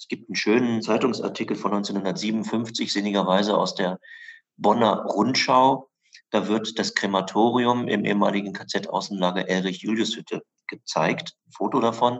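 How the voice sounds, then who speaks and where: The man speaks in a normal speaking voice, pitched fairly low, using ordinary pitch variation. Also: moderate pace. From southern Lower Saxony, Germany (western Harz edge). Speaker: historian and memorial director. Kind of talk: interview. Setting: in his office, remote.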